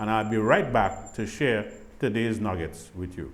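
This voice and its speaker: A man's voice carries audible room echo. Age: 60s. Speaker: grief ministry program host. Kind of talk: devotional talk.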